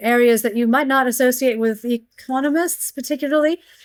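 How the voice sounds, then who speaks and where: With an American accent, a woman speaks at a moderate pace and with fairly even intonation. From US, Pennsylvania. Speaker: economics professor. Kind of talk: interview.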